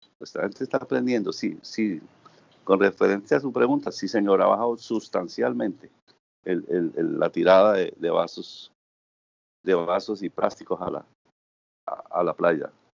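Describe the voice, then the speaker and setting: A man's fairly slow delivery, broken by long, frequent pauses. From Santander, Colombia. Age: 60s. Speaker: volunteer beach cleaner. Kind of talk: interview. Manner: halting.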